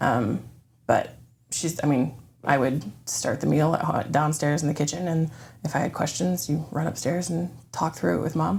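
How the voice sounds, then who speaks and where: A woman with an American accent and vocal fry, at a moderate pace. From Florida, Orlando. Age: 40s. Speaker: church member sharing her story. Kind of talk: testimony interview. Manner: hesitant, many ums.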